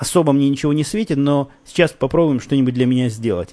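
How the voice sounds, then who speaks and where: Dry and close with no echo, a man's fairly high voice has a dark, mellow tone, ordinary pitch variation and a fairly quick pace. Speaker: podcast host. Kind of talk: casual monologue. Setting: home recording. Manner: soft-spoken.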